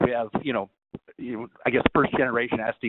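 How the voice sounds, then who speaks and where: With an American accent, a man speaks at a medium pitch in a monotone, flat intonation. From New York. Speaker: IT solutions engineer. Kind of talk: webinar presentation. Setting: conference call. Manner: fast.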